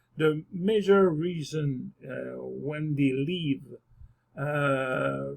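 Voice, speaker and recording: The speech is very slow. It carries a French accent. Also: man. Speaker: immigration and investment youtuber. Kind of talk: casual video monologue. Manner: halting, many fillers.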